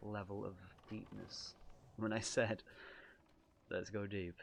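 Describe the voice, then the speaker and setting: In a northern English accent, a man speaks at a fairly slow pace with a fairly low pitch. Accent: soft northern English. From northern England, Lancashire, Ribble Valley near Blackburn. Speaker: streamer. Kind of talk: casual chat.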